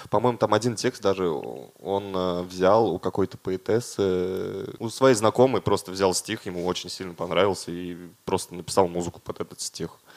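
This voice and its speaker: A man's plain, everyday voice, fairly low in pitch, dry and close with no echo on a very clean recording with a silent background. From Russia, Dimitrovgrad. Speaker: concert organizer. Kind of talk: casual chat.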